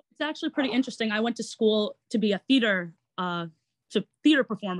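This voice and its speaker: With a New York accent, a woman speaks at a moderate pace and a fairly high pitch with ordinary pitch variation, on a very clean recording with a silent background and a dry, close sound with no echo. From Long Island, New York. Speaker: actor and online entertainer. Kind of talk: interview.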